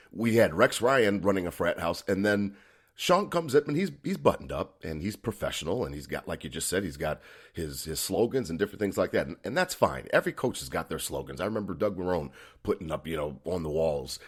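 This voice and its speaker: At a very fast pace, a man with an American accent speaks at a fairly low pitch with vocal fry and very wide pitch swings, recorded very cleanly against a silent background. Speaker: sports podcast host. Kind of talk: casual chat.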